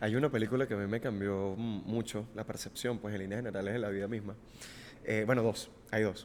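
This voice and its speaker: A man's fairly low, monotone, flat voice at a fairly quick pace, with a Venezuelan accent. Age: 20s. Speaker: podcast host, TV presenter. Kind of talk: casual conversation.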